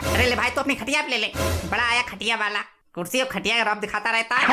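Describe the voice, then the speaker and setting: A female-sounding cartoonish character voice talks at a very fast pace and fairly high pitch. Faint music plays in the background. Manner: boastful, lecturing.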